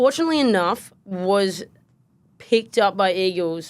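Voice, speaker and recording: A woman with an American accent. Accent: Australian with slight American twang. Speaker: podcast co-host, former basketballer. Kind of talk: casual podcast chat.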